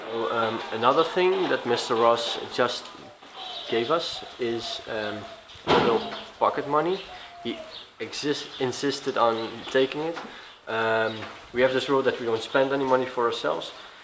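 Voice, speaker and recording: Amid noticeable background noise and audible room echo, a man with a medium pitch and ordinary pitch variation speaks at a moderate pace with long, frequent pauses. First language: Finnish or Dutch. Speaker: travel vlogger. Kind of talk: travel vlog narration.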